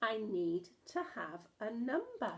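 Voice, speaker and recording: A woman performs a put-on character voice at a fairly high pitch. Her pitch swings very wide. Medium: read story.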